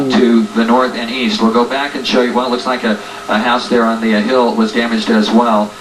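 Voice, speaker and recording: A man's medium-pitched voice at a fairly quick pace, monotone and flat in intonation, over noticeable background noise. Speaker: TV weather broadcaster / storm reporter. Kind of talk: live broadcast commentary. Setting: emergency broadcast radio. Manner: halting, filler-heavy.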